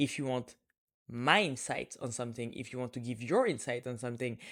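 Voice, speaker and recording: On a very clean recording with a silent background, a woman with a non-native accent talks at a fairly quick pace in a very deep, low pitch. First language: French. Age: 20s. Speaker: podcast host. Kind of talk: casual solo podcast talk.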